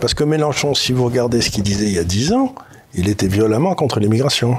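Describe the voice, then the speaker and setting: A man talking at a very fast pace, lively intonation and very even loudness over noticeable background noise. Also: medium pitch for a man. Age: 70s. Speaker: economist commentator. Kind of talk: casual political discussion.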